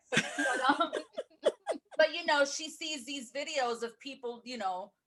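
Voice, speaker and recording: A woman's raised, projected voice at a high pitch, with big swings in loudness, ordinary pitch variation and a fairly slow pace. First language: Spanish. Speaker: podcast co-host. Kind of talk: casual chat.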